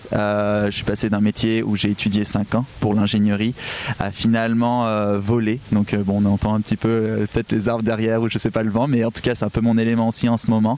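A man talks at a moderate pace with a fairly low pitch. His intonation is monotone and flat. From southwest France. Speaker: podcaster. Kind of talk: casual interview. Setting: outdoors by the water.

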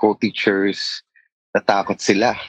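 A man with a Filipino accent speaks at a moderate pace, the sound dry and close with no echo. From Philippines. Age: 40s. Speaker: schoolteacher. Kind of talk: therapy interview.

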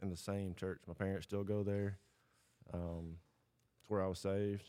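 A man with a Tennessee accent has a fairly low voice with a dark, mellow tone. His delivery is monotone and flat, at a moderate pace. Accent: Southern US (Tennessee). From US South, Southwest Tennessee. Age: 30s. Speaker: guest, hunter. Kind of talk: testimony. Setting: studio shop.

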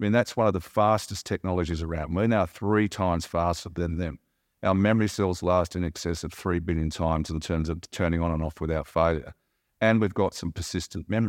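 Very deep, low-pitched man with an Australian accent, fairly quick pace and fairly even intonation, in a dry, close sound with no echo on a very clean recording with a silent background. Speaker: company chairman. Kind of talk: interview.

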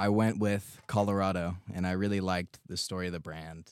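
Speaking at a moderate pace with an American accent, the voice keeps a monotone, flat intonation. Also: man. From US West Coast, San Luis Obispo, California. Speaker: business owner. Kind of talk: casual chat.

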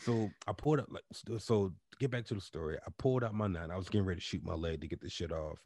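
Speaking at a very fast pace, a man uses a very deep, low pitch and a dark, mellow, somewhat breathy tone with lively intonation. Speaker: podcast host. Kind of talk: casual chat. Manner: animated.

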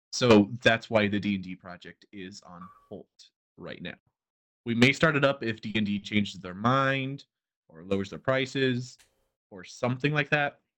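Using a plain, everyday voice, a man speaks at a moderate pace and medium pitch with ordinary pitch variation and big swings in loudness. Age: 20s. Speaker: podcast co-host and role-player. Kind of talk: casual chat.

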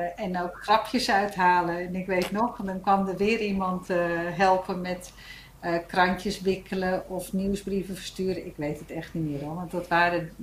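Somewhat breathy and medium in pitch, a woman speaks fairly slowly with monotone, flat intonation and big swings in loudness. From Netherlands, Gouda and Hilversum. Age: 50s. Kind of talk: casual chat.

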